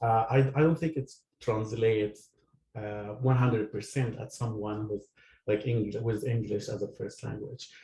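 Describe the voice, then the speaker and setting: Fairly slow and somewhat breathy, a man with a non-native accent speaks at a medium pitch with a dark, mellow tone. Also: fairly even intonation. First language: not English. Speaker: audience member asking a question. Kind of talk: audience question. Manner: halting.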